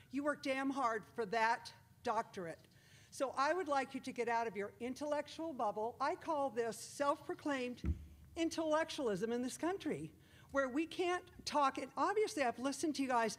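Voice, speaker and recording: Her voice high and her tone animated, a woman speaks at a moderate pace with lively intonation. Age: 60s. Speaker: public commenter at school board meeting. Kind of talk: public comment speech. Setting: public meeting room with audience.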